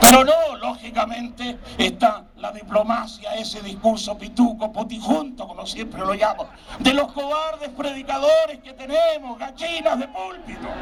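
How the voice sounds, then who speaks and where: With hardly any pauses, a man speaks at a fairly slow pace in an extremely high pitch, his tone animated, with big swings in loudness and ordinary pitch variation, while noticeable background noise and audible room echo fill the recording. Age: 60s. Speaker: evangelical preacher. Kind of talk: sermon.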